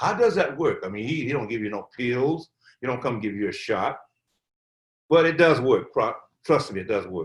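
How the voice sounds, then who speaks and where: Somewhat breathy, a man talks at a moderate pace with long, frequent pauses. His medium pitch moves in very wide swings. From US South, Atlanta, Georgia. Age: 80s+. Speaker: Covid survivor, elder. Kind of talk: interview. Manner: halting, repetitive.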